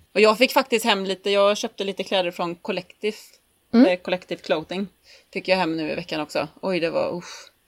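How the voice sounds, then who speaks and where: A woman's ordinary speaking voice at medium pitch, with ordinary pitch variation and a fairly quick pace, in a very clean recording with a silent background. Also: dry, close sound with no echo. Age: 30s. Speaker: podcast co-host, pinup model. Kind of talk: casual chat.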